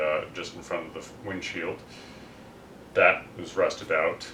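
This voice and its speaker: A fairly slow pace amid noticeable background noise and audible room echo. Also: man. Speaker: DIY car restoration youtuber. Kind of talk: casual video narration. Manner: loud.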